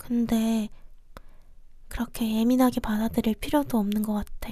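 Very slowly, a woman speaks in a high pitch with a gentle, dark, mellow tone. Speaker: ASMR creator. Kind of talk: ASMR roleplay comforting a stressed younger brother. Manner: soft, gentle, affectionate.

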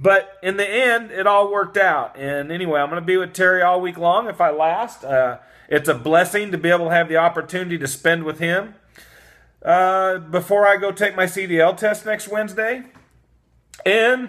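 A man talks at a moderate pace in a bright, sharp tone. His pitch varies normally against a quiet background. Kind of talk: casual vlog chat. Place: home room. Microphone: phone near.

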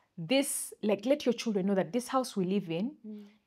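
A woman with a Ugandan accent speaks in a fairly high pitch with a dark, mellow tone. Her pitch varies in an ordinary way, and the background is quiet. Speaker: podcast co-host. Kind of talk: casual chat. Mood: animated, storytelling. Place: studio. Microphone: lapel.

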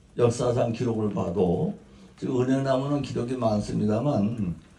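In a dark, mellow, somewhat breathy tone, a man speaks at a fairly slow pace with ordinary pitch variation and audible room echo. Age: 80s+. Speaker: Buddhist monk. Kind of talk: ceremonial dharma talk.

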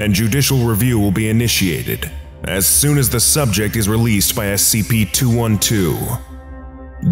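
Music plays in the background as a man talks at a fairly slow pace. His fairly low voice makes very wide pitch swings. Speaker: voice over artist. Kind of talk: documentary narration of fictional files.

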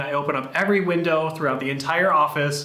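Talking at a fairly quick pace with an American accent, a man uses ordinary pitch variation amid audible room echo. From United States. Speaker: YouTuber. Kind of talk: scripted narration. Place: home room.

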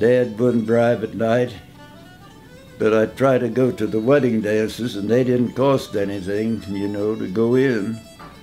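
Over faint background music, a man with a Midwestern US accent talks fairly slowly at a medium pitch, his intonation fairly even. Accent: rural Midwestern American. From southeastern Indiana. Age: 80s+. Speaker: old-time fiddler; war veteran. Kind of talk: interview answer. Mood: reminiscing, relaxed. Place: home room.

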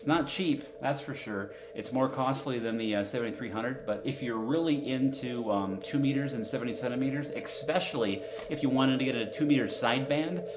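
A man talks with ordinary pitch variation at a moderate pace, noticeable background noise behind him. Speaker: amateur radio hobbyist streamer. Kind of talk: casual live stream chat. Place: home room.

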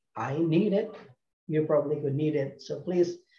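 Audible room echo surrounds a man with a dark, mellow tone. He talks at a moderate pace with ordinary pitch variation. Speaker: ministry announcer. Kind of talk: announcements. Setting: video call. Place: home room. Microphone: video call.

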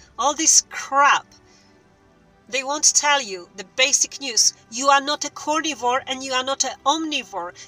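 A woman's raised, projected voice, dry with no echo, over faint music in the background. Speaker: vlogger. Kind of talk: casual vlog chat. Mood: indignant, persuasive. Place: car. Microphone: phone near.

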